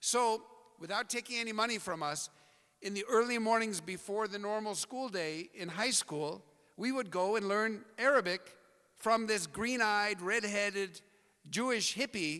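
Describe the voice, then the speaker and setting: A man speaks in a raised, projected voice with an American accent, pitched high for a man. His tone is bright and sharp, his pace moderate, and his pitch variation ordinary. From US Pacific Northwest, Portland, Oregon. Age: 60s. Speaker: speaker at community event. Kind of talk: talk to audience.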